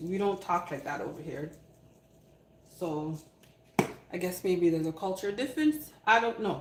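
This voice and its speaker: A woman speaks in an animated tone at a moderate pace, with ordinary pitch variation. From Canada. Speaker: cooking livestreamer. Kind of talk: live cooking stream with chat replies. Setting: live stream.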